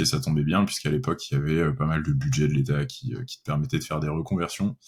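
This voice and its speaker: Very wide pitch swings and a very fast pace from a man, with noticeable background noise. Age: 30s. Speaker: software developer. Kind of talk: interview. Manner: hesitant, many fillers.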